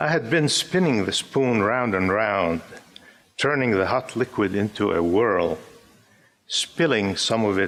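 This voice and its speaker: A man with an Arabic accent and a fairly low pitch talks at a fairly slow pace, keeping very even loudness between long, frequent pauses. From Syria (Damascus). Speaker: poet. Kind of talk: poetry reading.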